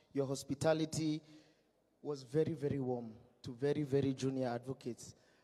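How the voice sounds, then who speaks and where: With a dark, mellow tone, a man speaks at a fairly quick pace in a monotone, flat delivery broken by long, frequent pauses. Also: fairly high pitch for a man. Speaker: lawyer. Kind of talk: event speech. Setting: dinner hall with audience, PA system. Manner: loud.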